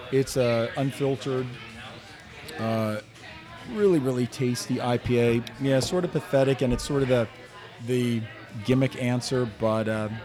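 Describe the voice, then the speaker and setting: A man with an American accent talks at a fairly slow pace with long, frequent pauses. His medium pitch shows ordinary variation, with noticeable background noise behind him. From New Jersey. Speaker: foodie group admin and guest. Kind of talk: casual round-table chat. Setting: brewery taproom.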